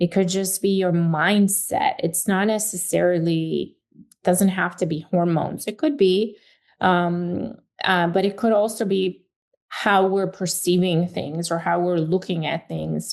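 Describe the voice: A woman with a fairly low pitch and vocal fry speaks at a fairly slow pace with fairly even intonation. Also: slightly mellow tone.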